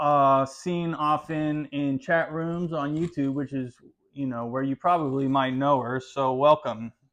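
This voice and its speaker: This is a man with an ordinary speaking voice. He talks at a fairly slow pace. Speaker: YouTube channel host, interviewer. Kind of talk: interview host introduction.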